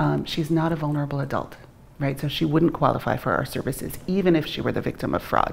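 Over light background noise, a woman speaks very fast in a very deep, low voice with vocal fry and fairly even intonation. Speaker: guest. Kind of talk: interview answer. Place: studio.

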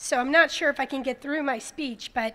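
A woman with an American accent talks in a high pitch, her pitch rising and falling in an ordinary way. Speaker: state official giving a speech. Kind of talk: memorial ceremony speech.

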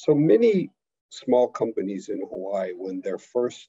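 Behind the voice, things stay quiet. The words come out at a very slow pace. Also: man. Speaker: export council webinar host. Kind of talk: webinar moderation. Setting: video call. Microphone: connection problems; webcam.

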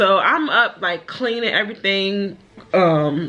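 The voice belongs to a woman. She talks at a fairly slow pace. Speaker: single mother vlogger. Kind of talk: casual vlog chat. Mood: reflective, confiding. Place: home room. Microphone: phone near.

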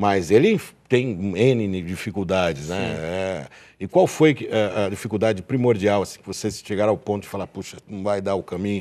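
At a moderate pace, a man speaks in a dark, mellow tone with a fairly low pitch, ordinary pitch variation and big swings in loudness. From Brazil. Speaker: TV show host about auctions; TV show host. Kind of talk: live TV interview. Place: studio. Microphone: lapel.

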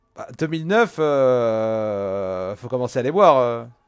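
A man's lively, rising-and-falling delivery against a quiet background. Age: 20s. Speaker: gaming streamer. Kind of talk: casual gameplay commentary chatting with viewers; casual live-stream commentary to chat. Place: home room.

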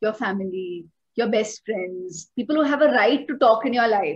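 A woman with a fairly high pitch and an Indian accent speaks at a moderate pace with lively intonation. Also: quiet background. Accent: Indian English, code-switching with Hindi. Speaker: guest, coach on self-improvement. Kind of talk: podcast interview explanation. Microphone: video call.

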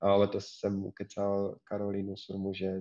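Against a quiet background, a man speaks at a fairly low pitch in a dark, mellow tone. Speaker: career advisor and programming community organizer. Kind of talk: live online Q&A. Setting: online livestream.

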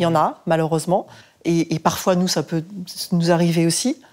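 A woman speaking at a fairly quick pace. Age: 40s. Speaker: parish volunteer. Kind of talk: casual chat. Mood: earnest, self-critical. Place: studio. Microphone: lapel.

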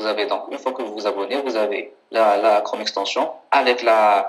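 The pace is fairly slow as a man talks. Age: 30s. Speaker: software founder and former online seller; former online seller. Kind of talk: interview. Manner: halting, frequent repetitions. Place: home room. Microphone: video call.

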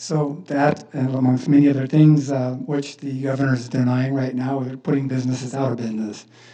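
The intonation is monotone and flat. Audible room echo surrounds the voice. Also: man. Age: 60s. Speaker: business owner speaking at public comment. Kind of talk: public comment at city council meeting. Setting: city council chamber.

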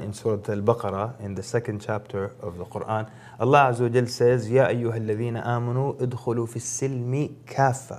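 Moderate pace from a man with an American accent and fairly even intonation. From grew up around the world, lived in Africa before the US. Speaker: Islamic preacher. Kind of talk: religious talk show interview. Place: studio. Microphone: lapel.

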